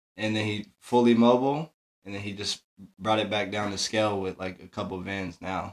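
A man speaks in a normal speaking voice with a fairly low pitch. His pace is moderate and his intonation fairly even. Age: 20s. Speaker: entrepreneur, tour crew. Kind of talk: casual chat.

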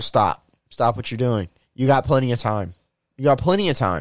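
A man with lively intonation. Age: 20s. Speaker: podcast host. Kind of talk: casual chat.

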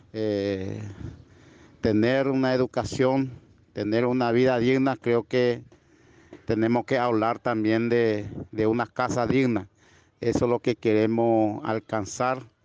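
A man speaks at a very slow pace with long, frequent pauses, his medium-pitched voice flat and monotone and his loudness very even, in dry, close sound with no echo. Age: 30s. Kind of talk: interview testimony. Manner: halting, repetitive.

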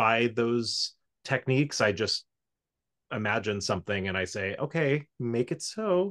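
With an American accent and an ordinary speaking voice, a man speaks fairly slowly at a medium pitch and with lively intonation, the sound dry and close with no echo over a quiet background. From South Florida. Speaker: musical arranger and orchestrator. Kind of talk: casual interview chat.

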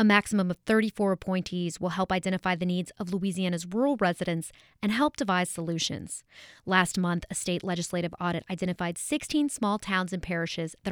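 A woman speaks in an ordinary speaking voice at medium pitch, with ordinary pitch variation and a fairly quick pace. The recording is very clean with a silent background, and the sound is dry and close with no echo. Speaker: radio reporter. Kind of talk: scripted news report. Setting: New Orleans. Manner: polished, measured.

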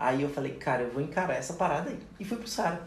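Noticeable background noise and audible room echo surround the speech. The pace is very fast and the intonation lively. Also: man. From Federal District of Brazil (Ceilândia/Taguatinga). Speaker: dentist and course instructor. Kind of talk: casual chat. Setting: in person, drinking wine. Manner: talkative.

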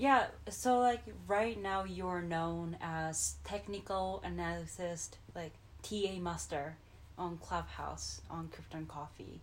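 A woman with a Japanese accent talks at a very slow pace. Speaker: crypto podcast co-host. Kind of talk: casual chat.

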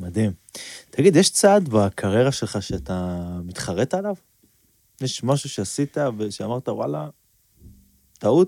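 On a very clean recording with a silent background and a dry, close sound with no echo, a man with a fairly low pitch and dark, mellow tone speaks at a fairly slow pace, with very wide pitch swings and long, frequent pauses. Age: 30s. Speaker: podcast host. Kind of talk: interview.

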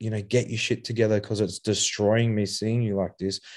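Over a quiet background, a man speaks in an Australian accent at medium pitch with a dark, mellow tone. His delivery is fairly quick and monotone, with flat intonation. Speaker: author and youth addiction mentor. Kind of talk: podcast interview. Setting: video call. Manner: hesitant, many fillers.

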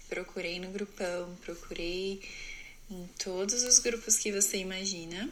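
Her voice is an ordinary speaking voice of medium pitch, moving at a fairly slow pace. The woman's loudness swings widely. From Brazil, interior of São Paulo state. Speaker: au pair and student. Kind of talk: personal story monologue.

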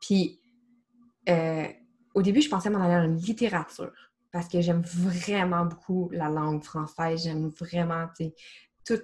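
The speaker, with a Quebec accent, sounds somewhat breathy and keeps fairly even intonation. The pace is fairly slow, broken by long, frequent pauses. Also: woman, fairly low pitch for a woman. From Quebec, small region outside Montreal. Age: 30s. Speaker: marketing project manager and holistic coach. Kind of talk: casual interview.

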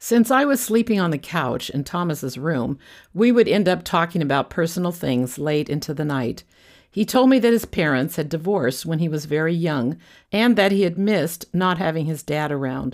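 A woman with an American accent speaks in a normal speaking voice, fairly low in pitch with lively intonation. She keeps a moderate pace, on a very clean recording with a silent background. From California. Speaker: podcaster telling her life story. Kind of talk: scripted narration.

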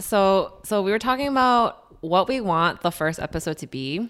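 This woman has an American accent and an animated tone. She talks at a fairly slow pace. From Chicago area, US. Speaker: podcast co-host, nonprofit video producer. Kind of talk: casual chat about faith. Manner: animated, laughs often.

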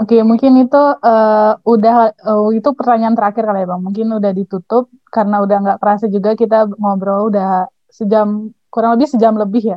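Fairly high in pitch, a woman speaks fairly quickly in a monotone, flat delivery with hardly any pauses. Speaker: student podcast host. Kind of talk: casual interview chat.

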